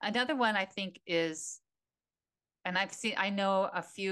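A woman talks with a bright, sharp tone. The background stays quiet. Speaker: retired teacher, podcast co-host. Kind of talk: casual chat.

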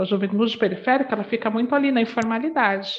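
A woman speaks in a warm tone with ordinary pitch variation. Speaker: diversity and anti-racist education consultant. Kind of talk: interview. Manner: warm, loving tone.

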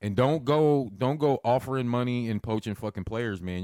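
In a normal speaking voice, a man talks at a fairly quick pace with lively intonation and a dry, close sound with no echo. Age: 40s. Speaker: podcast co-host. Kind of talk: casual chat. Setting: barbershop.

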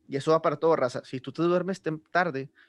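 A man with an unremarkable speaking voice talks at a fairly quick pace with fairly even intonation. The sound is dry and close with no echo, the background quiet. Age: 20s. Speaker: podcast host. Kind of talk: casual chat.

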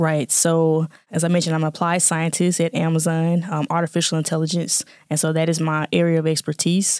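Fairly quick and with hardly any pauses, a woman with a Southern US accent talks in a flat monotone at a fairly low pitch, her loudness very even and the sound dry and close with no echo. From Jackson, Mississippi. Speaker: scientist and nonprofit founder. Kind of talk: interview conversation.

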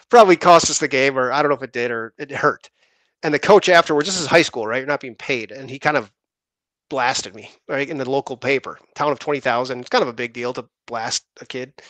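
A normal speaking voice at a fairly quick pace, with ordinary pitch variation, big swings in loudness, and dry, close sound with no echo against a quiet background. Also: man, medium pitch for a man. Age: 30s. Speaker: insurance producer, podcast co-host. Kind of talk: casual chat.

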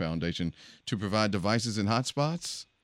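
A man speaks in a plain, everyday voice at a moderate pace, his pitch fairly low, on a very clean recording with a silent background. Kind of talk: casual chat. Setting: studio.

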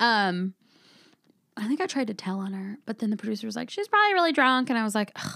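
A woman's fairly high voice with a bright, sharp tone, lively intonation and a very fast pace. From Southern California (Vista, San Diego County). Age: 40s. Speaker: comedian. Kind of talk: casual chat.

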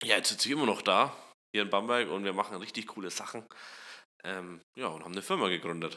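A man talks at a very fast pace with ordinary pitch variation, breaking often into long pauses, on a very clean recording with a silent background. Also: fairly low pitch for a man. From Upper Franconia, Germany (Kulmbach). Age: 20s. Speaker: startup co-founder and CTO. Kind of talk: casual interview.

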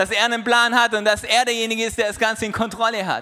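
High-pitched, raised and projected man's voice over noticeable background noise. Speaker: preacher. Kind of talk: sermon. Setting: church. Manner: animated, conversational, warm and encouraging; direct and persuasive, quoting Jesus in casual voice.

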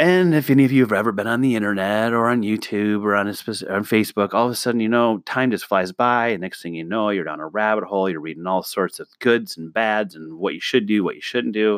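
Hardly pausing, a man with an American accent talks at a very fast pace and fairly low pitch with ordinary pitch variation, in a very clean recording with a silent background. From US Midwest, northwest Illinois. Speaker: podcast host. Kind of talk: solo monologue podcast. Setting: home office, microphone. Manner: halting, many fillers.

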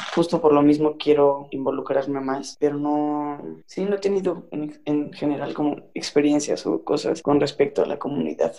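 A man with a dark, mellow tone speaks at a moderate pace with hardly any pauses. His voice is fairly high, with fairly even intonation. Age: 20s. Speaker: former student. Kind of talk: casual chat.

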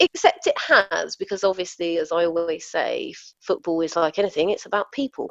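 Delivered at a fairly quick pace, this voice carries a South London accent, and the sound is dry and close with no echo. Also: woman. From Southeast London, England. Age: 40s. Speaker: football coach. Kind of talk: casual chat.

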